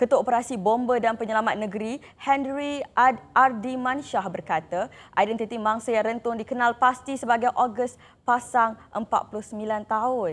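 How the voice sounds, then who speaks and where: In a quiet background, a woman speaks at a fairly slow pace. Her pitch is fairly high, with fairly even intonation. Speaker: morning TV show co-host. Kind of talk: live TV morning show chat and news reading. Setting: TV studio, live broadcast. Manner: softened gentle delivery for the occasion.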